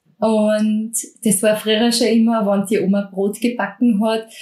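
A woman's fairly high, somewhat breathy voice with a dark, mellow tone. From Austria, Mostviertel (Lower Austria). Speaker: bread expert and cooking instructor. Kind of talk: interview.

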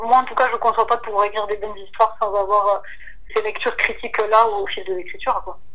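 A woman's fairly high, monotone voice at a very fast pace, flat in intonation, over noticeable background noise. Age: 20s. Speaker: novelist. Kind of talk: casual interview.

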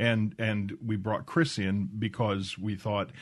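Over a quiet background, a man talks at a moderate pace and fairly low pitch in a normal speaking voice. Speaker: radio producer. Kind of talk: casual radio chat. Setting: radio studio.

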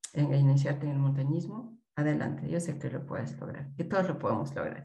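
A woman speaks with a very deep, low pitch and a dark, mellow tone, somewhat breathy and with fairly even intonation. Audible room echo surrounds her voice. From Peru, Andean highlands. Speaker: mountaineer and mountain guide. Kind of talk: interview.

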